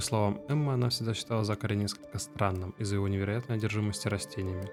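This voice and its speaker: Very fast speech with very even loudness and ordinary pitch variation, over music in the background. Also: man, fairly low pitch for a man. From Russia, Tver. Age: 20s. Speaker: gamer, IT worker. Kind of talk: let's play commentary. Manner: casual.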